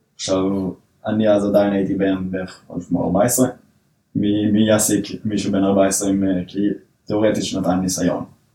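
With long, frequent pauses, a man speaks at a moderate pace in a fairly low voice, his tone dark and mellow and his intonation flat and monotone. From northern Israel. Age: 20s. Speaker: software developer. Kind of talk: casual interview.

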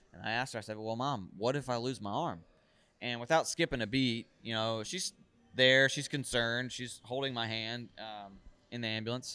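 Music plays in the background. A man with a medium pitch talks in an American accent. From US South, Raleigh, North Carolina. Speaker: adaptive athlete and motivational speaker. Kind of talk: casual interview. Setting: fitness event venue.

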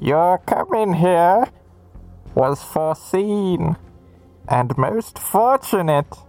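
In a put-on character voice with a menacing, theatrical tone, a man speaks at a very slow pace with long, frequent pauses, lively intonation and a high pitch, the sound dry and close with no echo and faint music in the background. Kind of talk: villain monologue. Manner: gloating, menacing, theatrical.

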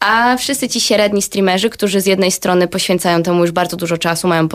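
A woman speaks at a very fast pace with ordinary pitch variation. The recording is very clean, with a silent background. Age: 20s. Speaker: streamer and startup co-founder. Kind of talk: radio interview.

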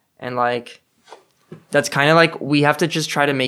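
The speaker has a Californian accent. The pace is fairly quick. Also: man. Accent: Californian American English. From Los Angeles, California. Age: 20s. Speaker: student. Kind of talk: casual chat.

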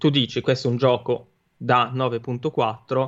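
In a monotone, flat intonation, a man speaks. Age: 30s. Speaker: gaming streamer. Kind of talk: casual chat.

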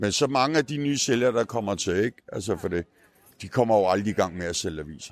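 A man's fairly low-pitched voice in a dry, close sound with no echo. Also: lively intonation, fairly quick pace. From rural Denmark. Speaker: street newspaper vendor. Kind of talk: casual interview. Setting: outdoors at a Christmas market. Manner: halting.

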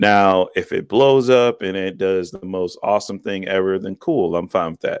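A normal speaking voice from a man with an American accent, fairly low pitch and ordinary pitch variation, at a moderate pace with hardly any pauses, on a very clean recording with a silent background. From US Midwest, Cleveland, Ohio. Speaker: tech YouTuber, Navy veteran. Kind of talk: interview.

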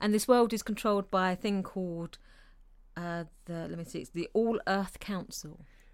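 With a normal speaking voice at a medium pitch, a woman talks at a moderate pace with big swings in loudness on a very clean recording with a silent background. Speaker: co-host. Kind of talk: casual chat.

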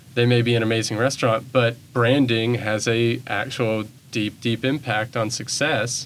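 A man with an American accent speaks at a moderate pace, his medium-pitched voice flat and monotone. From Bentonville, Arkansas. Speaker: arts program director. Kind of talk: interview. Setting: studio.

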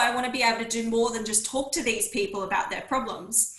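Fairly high-pitched female speech at a fairly quick pace, with audible room echo. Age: 30s. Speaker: naturopath and women's health mentor. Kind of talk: interview.

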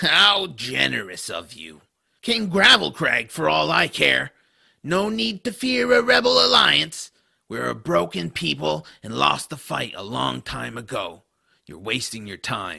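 At a fairly slow pace, a man uses a raspy put-on character voice pitched fairly low. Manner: sarcastic, defiant.

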